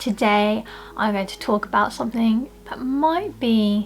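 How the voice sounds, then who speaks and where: In a British accent, a woman speaks at a moderate pace and a fairly high pitch with ordinary pitch variation. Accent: British-accented Asian speaker. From Philippines. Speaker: personal trainer and lifestyle vlogger. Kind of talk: casual talk to camera.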